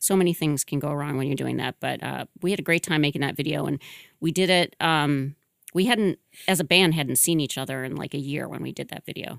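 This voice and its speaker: A woman with an American accent, very deep and low in pitch, with vocal fry, a fairly quick pace, ordinary pitch variation, and a dry, close sound with no echo. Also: very clean recording, silent background. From Michigan. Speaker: musician and record label owner. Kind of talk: casual interview. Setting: studio.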